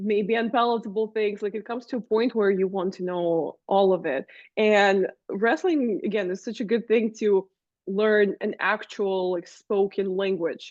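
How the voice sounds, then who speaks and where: A woman with a non-native accent, medium pitch, ordinary pitch variation and a moderate pace. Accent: foreign. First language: Russian. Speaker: wrestling commentator and manager. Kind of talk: interview.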